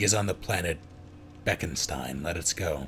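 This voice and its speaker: The voice is a put-on character. Background noise can be clearly heard. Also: man, very deep, low pitch for a man, moderate pace. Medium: read story.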